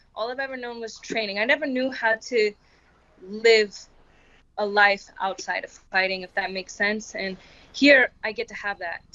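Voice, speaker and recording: In an American accent and a normal speaking voice, a woman talks at a moderate pace with a fairly high pitch and ordinary pitch variation. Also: big swings in loudness. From Florida (Tampa). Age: 20s. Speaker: MMA fighter. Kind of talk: interview.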